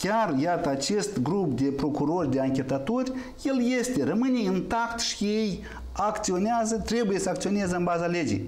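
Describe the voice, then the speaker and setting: Very wide pitch swings at a fairly slow pace, with very even loudness and audible room echo. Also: man. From Moldova. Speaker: member of parliament; guest. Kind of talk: political talk show debate. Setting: TV studio. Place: studio.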